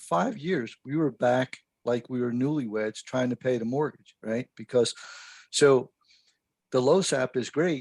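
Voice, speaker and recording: A man speaks in an ordinary speaking voice, medium in pitch with ordinary pitch variation, at a fairly slow pace. The sound is dry and close with no echo, and his loudness swings widely. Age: 60s. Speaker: fire service instructor. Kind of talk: podcast interview. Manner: casual.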